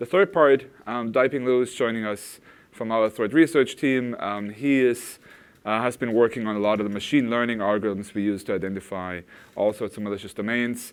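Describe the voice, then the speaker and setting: In a German accent, a man speaks at a medium pitch and a fairly quick pace, with ordinary pitch variation. The recording is very clean and the background silent. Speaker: product manager presenting at a tech conference. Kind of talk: conference talk. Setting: stage with audience. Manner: hesitant, many fillers.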